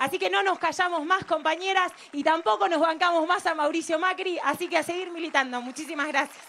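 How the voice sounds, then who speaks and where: A raised, projected voice moves at a fairly quick pace with hardly any pauses, ordinary pitch variation and light background noise. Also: woman, extremely high pitch for a woman. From Argentina, Rosario; Argentina. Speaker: economist and political activist; speaker. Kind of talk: political rally speech. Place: waterside. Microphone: handheld.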